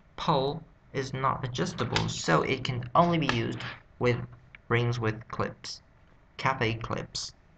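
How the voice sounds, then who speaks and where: Very slow and marked by vocal fry, a man's bright, sharp voice carries a Vietnamese accent. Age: 20s. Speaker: English learner vlogger. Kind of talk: self-study vocabulary practice. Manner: halting.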